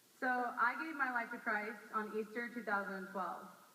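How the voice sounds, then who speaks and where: Over noticeable background noise, a woman talks at a fairly slow pace in a fairly high pitch. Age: 20s. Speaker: campus missionary. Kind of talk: personal testimony talk.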